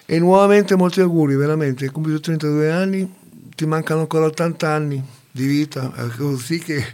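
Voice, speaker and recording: A moderate pace and a fairly high pitch from a man. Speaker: community radio participant. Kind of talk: casual chat. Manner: halting.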